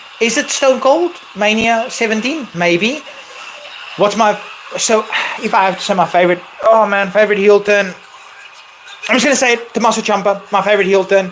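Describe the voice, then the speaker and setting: Against noticeable background noise, a man with a non-native accent and a high pitch speaks at a fairly quick pace with ordinary pitch variation and long, frequent pauses. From South Africa. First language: not English. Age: 30s. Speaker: wrestling streamer. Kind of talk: live stream Q&A chat. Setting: live stream. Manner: animated.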